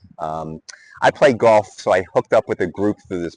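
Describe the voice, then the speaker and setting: A man with an American accent talks at a moderate pace in a normal speaking voice, fairly low in pitch. His intonation is fairly even and the sound is dry and close with no echo. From United States. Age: 60s. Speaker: retiree. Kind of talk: casual vlog talk to camera.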